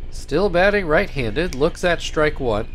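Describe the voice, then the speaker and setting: Speaking at a fairly slow pace, a man shows vocal fry and very wide pitch swings. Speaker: baseball video game commentator. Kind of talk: live-style baseball play-by-play commentary over a video game. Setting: home recording, narrating gameplay. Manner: casual, upbeat, conversational.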